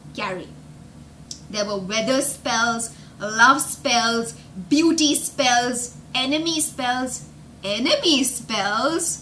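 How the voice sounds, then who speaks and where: Lively intonation carries speech at a very slow pace, with light background noise behind it. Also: woman. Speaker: English teacher and storyteller for children. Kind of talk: live storytelling and vocabulary lesson. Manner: upbeat, explanatory, engaging. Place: home room. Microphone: webcam.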